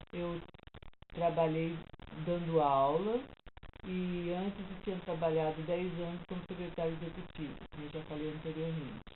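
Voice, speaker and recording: The woman's voice sits at a fairly low pitch as she talks at a moderate pace. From São Paulo, Brazil. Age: 60s. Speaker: retired teacher and psychology student. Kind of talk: life story interview.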